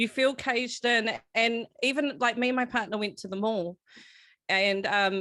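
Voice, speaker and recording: This woman has a fairly high pitch and a bright, sharp tone with a New Zealand accent. She speaks at a moderate pace. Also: ordinary pitch variation, very clean recording, silent background. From New Zealand, Auckland (Manurewa). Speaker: podcast host. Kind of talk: casual chat.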